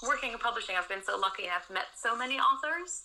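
A woman speaks in a high, raised and projected voice, her pitch swinging very widely at a fairly quick pace. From Netherlands. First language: Dutch. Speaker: booktuber and social media consultant. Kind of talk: interview.

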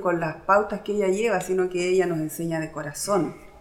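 A woman with a medium-pitched voice and ordinary pitch variation is heard over noticeable background noise. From Easter Island (Rapa Nui), Chile. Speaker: language student, mother. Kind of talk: interview testimony.

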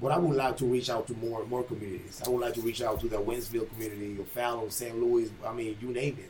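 Against noticeable background noise, a man talks very fast at a medium pitch. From Panama. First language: Spanish. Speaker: boxing trainer and gym owner. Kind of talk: casual podcast conversation.

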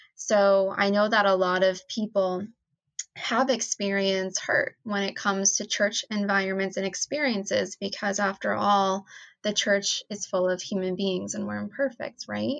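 Against a quiet background, a woman with an American accent talks in a normal speaking voice at medium pitch, keeping a moderate pace and fairly even intonation. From New Jersey, US. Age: 20s. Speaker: nonprofit co-founder. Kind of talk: casual chat.

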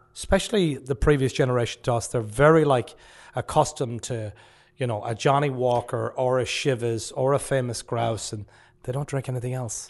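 Speaking with a western Irish accent, a man keeps a fairly quick pace. His pitch is medium and his intonation fairly even. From West of Ireland, rural. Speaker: pub owner. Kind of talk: casual interview chat. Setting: studio.

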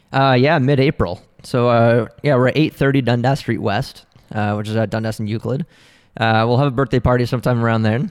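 Over a quiet background, a man with a Canadian accent and a normal speaking voice talks at a medium pitch and a fairly quick pace with fairly even intonation. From Ontario, Canada (Oakville). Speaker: art gallery owner. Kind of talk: interview.

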